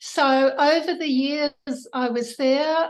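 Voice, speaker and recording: A woman with a New Zealand accent, high in pitch, at a very slow pace. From New Zealand (Auckland). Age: 70s. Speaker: political party candidate. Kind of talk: interview.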